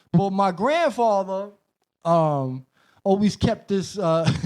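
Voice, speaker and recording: The recording is very clean and the background silent. A man talks with a New York accent. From Brooklyn, New York City. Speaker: hip-hop producer, DJ and rapper. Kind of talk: casual chat.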